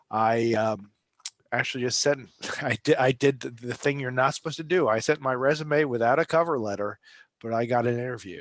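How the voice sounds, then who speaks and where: A man with a slight New Jersey accent at medium pitch and a fairly quick pace, ordinary pitch variation, dry, close sound with no echo. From New Jersey, Bergen County. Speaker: travel industry consultant. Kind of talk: interview. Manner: halting, many fillers.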